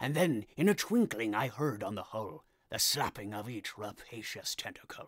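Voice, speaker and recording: This is a man speaking. He uses a put-on character voice. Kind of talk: comic poetry reading.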